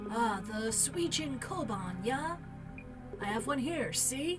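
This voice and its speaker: A put-on character voice over loud background music. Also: woman, fairly high pitch for a woman, fairly slow pace. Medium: game stream. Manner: blunt, casual slang.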